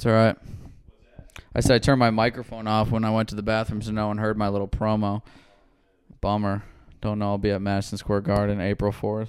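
A man speaks in a fairly low pitch with monotone, flat intonation. His pace is very fast, broken by long, frequent pauses. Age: 20s. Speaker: comedian and podcast host. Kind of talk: casual chat. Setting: studio.

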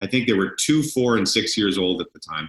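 This man has a bright, sharp tone. His pitch variation is ordinary. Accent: Canadian. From Canada. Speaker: sports broadcaster. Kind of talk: casual interview chat.

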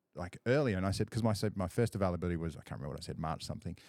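A man speaks with an Australian accent and ordinary pitch variation. The sound is dry and close, with no echo. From rural Australia. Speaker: photographer. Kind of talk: casual chat. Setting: studio.

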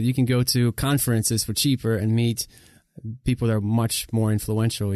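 Against a quiet background, a man talks at a fairly quick pace with a medium pitch and a dark, mellow tone, the sound dry and close with no echo. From Ukraine. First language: Russian. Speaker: podcast host. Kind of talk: casual interview chat; scripted outro.

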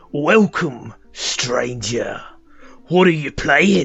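Speaking at a very slow pace, a man puts on a character voice pitched fairly high. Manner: welcoming, playful.

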